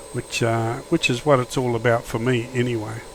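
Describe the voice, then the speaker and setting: Against noticeable background noise, a man with an Australian accent speaks at a medium pitch and a moderate pace. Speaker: flight simulator YouTuber. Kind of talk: gameplay commentary. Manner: casual, hesitant with fillers.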